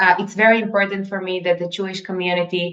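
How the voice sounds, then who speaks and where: A woman's medium-pitched voice stays monotone and flat, moving at a moderate pace. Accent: Israeli. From Israel. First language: Hebrew. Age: young. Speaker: egg donor. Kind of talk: interview. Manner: halting.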